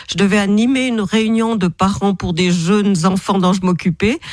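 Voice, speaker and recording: Somewhat breathy speech comes at a moderate pace, with a dry, close sound and no echo. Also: woman. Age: 60s. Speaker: author and therapist. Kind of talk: radio interview.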